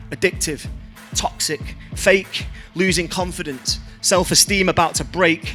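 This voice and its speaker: Music plays in the background as a man with a northern English accent speaks at a high pitch and a fairly slow pace, his intonation fairly even. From Blackpool, northern England. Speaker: spoken word artist. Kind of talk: spoken word poetry performance.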